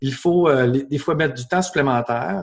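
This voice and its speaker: A man's voice sits at fairly high pitch, with ordinary pitch variation. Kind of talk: webinar Q&A.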